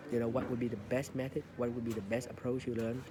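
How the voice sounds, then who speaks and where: There is noticeable background noise behind this man. He has a medium pitch and speaks with a Vietnamese accent. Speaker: English learning podcaster. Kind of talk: casual monologue. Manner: halting, many fillers.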